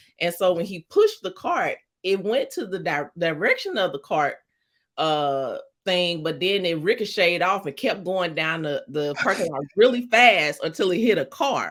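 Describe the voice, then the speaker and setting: Heard in a very clean recording with a silent background, a woman with a St. Louis accent speaks at a moderate pace and medium pitch with lively intonation. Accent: St. Louis accent, drops R's. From US Midwest, St. Louis, Missouri. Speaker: romance author. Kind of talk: interview.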